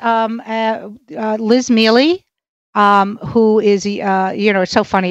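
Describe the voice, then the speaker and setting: A woman with a New York accent talks at a medium pitch over a quiet background. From Brooklyn, New York. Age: 60s. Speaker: stand-up comedian. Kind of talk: casual interview.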